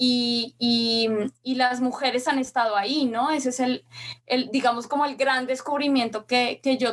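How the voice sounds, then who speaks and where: A woman talks in a high pitch at a fairly slow pace. Her intonation stays monotone and flat. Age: 30s. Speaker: feminist content creator. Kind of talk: interview testimony.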